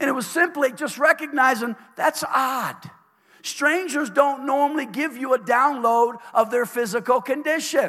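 In a raised, projected voice, a man speaks at an extremely high pitch and fairly slow pace, his tone bright, sharp and animated, with ordinary pitch variation. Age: 60s. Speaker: pastor. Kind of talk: sermon. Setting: church.

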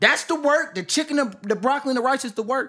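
Very fast and raised, a man projects his voice in a bright, sharp tone. The recording is very clean, the background silent. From Milwaukee, Wisconsin. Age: 20s. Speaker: YouTuber. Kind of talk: casual chat.

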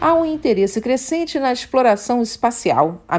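This woman's pitch swings very widely as she talks at a moderate pace. The recording is very clean, with a silent background. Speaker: news anchor. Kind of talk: news bulletin reading, formal broadcast. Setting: studio. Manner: formal, measured, even-paced newsreader delivery.

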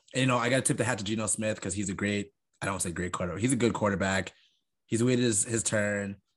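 A man with an American accent, a fairly low pitch and a very fast pace. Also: fairly even intonation. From Long Island, New York. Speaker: sports podcast co-host. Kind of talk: casual chat.

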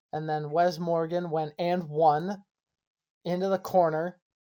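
This is a very clean recording with a silent background. The speaker talks at a fairly slow pace. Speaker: podcast host. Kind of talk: casual chat.

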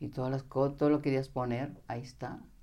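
Amid audible room echo, a woman speaks with a very deep, low pitch and a dark, mellow tone. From Mexico, Jalisco countryside. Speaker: spiritual teacher. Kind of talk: interview. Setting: studio.

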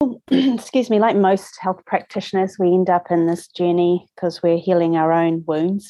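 A woman with a New Zealand accent speaks at a moderate pace with hardly any pauses, her medium-pitched voice dark and mellow in tone, with ordinary pitch variation and very even loudness. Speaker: lymphatic therapy practitioner. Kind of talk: interview conversation.

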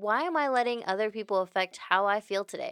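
A woman with a Texan accent at a moderate pace, on a very clean recording with a silent background. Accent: Texan American English. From Houston, Texas. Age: 20s. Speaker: podcast guest, friend of host. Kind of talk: casual chat.

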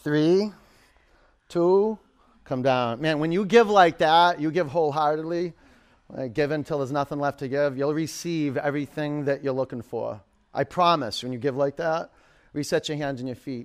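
Fairly high male speech in a plain, everyday voice, moderate in pace, pitch varying in an ordinary way. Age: 50s. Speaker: yoga instructor. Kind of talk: live power yoga class instruction, shouted countdowns and cues over effort. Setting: yoga studio with live class. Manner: playful, joking asides to the class.

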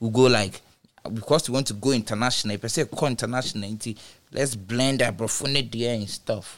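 Here a man speaks at a medium pitch. His intonation stays fairly even. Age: 30s. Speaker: DJ and music artist. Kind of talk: casual chat.

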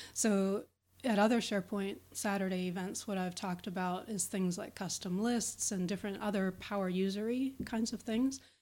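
A woman with an American accent and a plain, everyday voice speaks at a moderate pace and medium pitch, her intonation fairly even, on a very clean recording with a silent background. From Pittsburgh, Pennsylvania, US. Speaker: SharePoint consultant and speaker. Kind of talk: interview chat.

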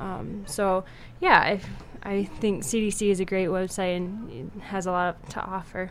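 Fairly even intonation and a medium pitch from a woman, at a fairly slow pace. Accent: Upper Midwest. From South Dakota, Sioux Falls. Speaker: medical student. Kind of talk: radio interview.

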